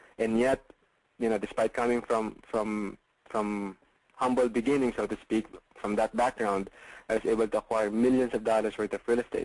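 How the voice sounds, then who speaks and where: In a Filipino accent, a man speaks at a moderate pace and medium pitch with flat, monotone intonation, the sound dry and close with no echo. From Philippines. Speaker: real estate investor and coach. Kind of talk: webinar sales pitch. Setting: online webinar call. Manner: hesitant, many fillers.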